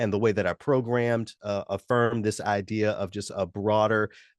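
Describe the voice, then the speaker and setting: A man with an ordinary speaking voice and an American accent talks fairly quickly, his fairly low pitch held in fairly even intonation. The sound is dry and close with no echo, over a quiet background. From US South, Memphis. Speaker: musician and radio announcer. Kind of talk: interview. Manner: measured, with frequent fillers.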